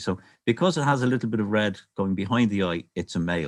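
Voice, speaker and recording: In a Dublin accent, a man talks at a moderate pace with lively intonation. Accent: Dublin Irish. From Ireland, Dublin. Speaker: birdwatcher and nature presenter. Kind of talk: online illustrated talk.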